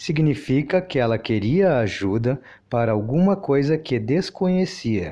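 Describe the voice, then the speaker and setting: A man with a fairly high pitch and a dark, mellow tone makes very wide pitch swings. His loudness stays very even over a quiet background. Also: fairly slow pace. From Rio Grande do Sul, southern Brazil. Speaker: guest contributor. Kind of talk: scripted language-lesson dialogue.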